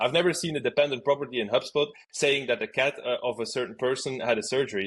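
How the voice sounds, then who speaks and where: A man with a strong Flemish accent, fairly high pitch, ordinary pitch variation, and a very fast pace. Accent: strong Flemish Dutch. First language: Dutch. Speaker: outbound marketing expert. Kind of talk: podcast interview.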